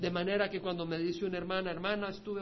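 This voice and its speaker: With audible room echo, a man speaks very fast at a high pitch in monotone, flat intonation. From El Salvador. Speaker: pastor. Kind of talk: sermon.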